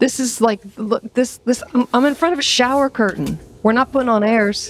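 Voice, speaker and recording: In a dry, close recording with no echo, a woman with a high pitch speaks at a moderate pace, with ordinary pitch variation and very even loudness. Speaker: musician and interviewer. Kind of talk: casual interview chat. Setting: remote call from home.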